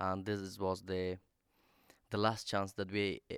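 With an Afghan accent, a man talks in a very deep, low pitch. His intonation stays monotone and flat. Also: dry, close sound with no echo, very clean recording, silent background. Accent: non-native English, Afghan. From Afghanistan. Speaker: activist spokesperson. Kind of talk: panel talk. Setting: stage with audience. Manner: halting.

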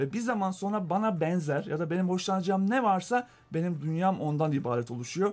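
A man's high-pitched voice carries lively intonation. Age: 40s. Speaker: data company co-founder. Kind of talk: radio interview.

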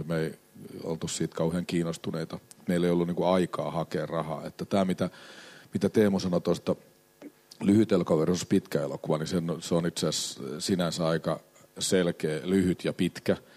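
Very deep and low in pitch, a man speaks with a dark, mellow tone and a monotone, flat intonation, in a dry, close sound with no echo. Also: moderate pace. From Finland, Helsinki. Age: 50s. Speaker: film producer. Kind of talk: panel discussion at a live event. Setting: stage with audience.

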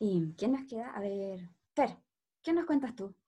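A woman's dark, mellow tone at a fairly slow pace, with lively intonation. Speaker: medical student podcast host. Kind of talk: casual podcast introduction.

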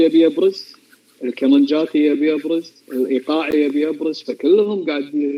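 With ordinary pitch variation, a man talks at a fairly slow pace and a fairly high pitch. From Kuwait. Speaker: amateur violinist. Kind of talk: casual chat.

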